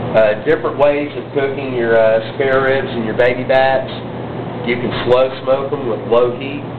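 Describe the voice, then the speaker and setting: A man in a Southern US accent at a moderate pace, fairly even in intonation, with audible room echo and noticeable background noise. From Texas. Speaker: butcher and caterer. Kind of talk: tutorial. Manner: casual, frequent filler words.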